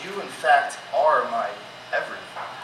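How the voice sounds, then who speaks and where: A man's voice over noticeable background noise. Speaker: spoken word poet. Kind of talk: spoken word performance. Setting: live concert venue.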